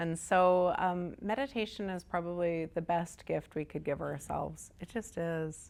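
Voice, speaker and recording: A woman with an American accent speaks at a fairly slow pace with hardly any pauses, her pitch fairly low with ordinary variation. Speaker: meditation teacher. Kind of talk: dharma talk to a class. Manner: loud; casual, animated.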